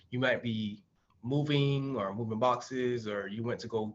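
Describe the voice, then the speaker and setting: A man with an American accent, a normal speaking voice, medium pitch and fairly even intonation. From Miami, Florida. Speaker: physical therapist. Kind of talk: webinar presentation.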